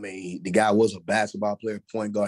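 Speech in an American accent comes at a fairly quick pace with monotone, flat intonation. The sound is dry and close with no echo. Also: man. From Texas, Dallas-Fort Worth area. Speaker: former football player, school administrator and coach. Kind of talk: casual interview.

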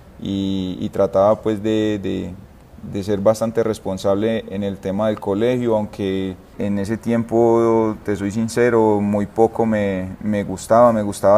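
A man speaks in a fairly low pitch with a dark, mellow tone. His intonation is monotone and flat. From Colombia, Itagüí (Antioquia). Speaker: professional footballer. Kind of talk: interview.

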